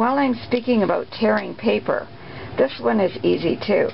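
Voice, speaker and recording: A woman speaks at a moderate pace. Background noise is noticeable behind her. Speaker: craft demonstrator. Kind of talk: tutorial. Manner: casual, hesitant.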